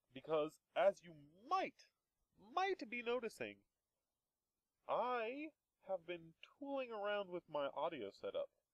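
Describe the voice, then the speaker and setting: The voice belongs to a man. It sounds dry and close, without any echo. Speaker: Minecraft let's play gamer. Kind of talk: gameplay commentary. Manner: softer than before; casual, hesitant with fillers.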